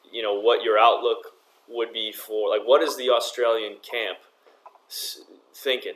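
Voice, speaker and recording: This is a man speaking. His pace is fairly slow. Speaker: podcast host. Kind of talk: podcast interview.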